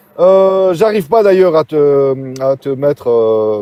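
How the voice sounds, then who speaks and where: A man speaks at a very slow pace with a fairly high pitch. Noticeable background noise sits under a dry, close sound with no echo. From Algeria, Algiers. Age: 60s. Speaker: caller. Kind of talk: casual chat. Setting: TikTok live. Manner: halting, many hesitations.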